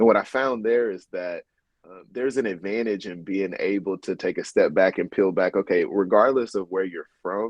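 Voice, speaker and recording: With a Southern US accent, a man talks at a moderate pace with big swings in loudness. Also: fairly low pitch for a man, ordinary pitch variation. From US South, North Little Rock, Arkansas. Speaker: lawyer and podcast host. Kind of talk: interview conversation.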